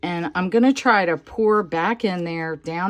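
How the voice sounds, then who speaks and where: A woman with a plain, everyday voice and a fairly low pitch speaks at a fairly slow pace with lively intonation. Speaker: resin crafter. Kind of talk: tutorial. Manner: casual, chatty with fillers.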